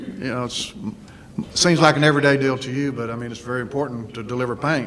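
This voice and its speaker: Audible room echo surrounds speech delivered at a fairly quick pace with fairly even intonation. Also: man. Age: 60s. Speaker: business owner, panelist. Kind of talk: panel discussion testimony. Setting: luncheon event with audience. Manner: halting, many fillers.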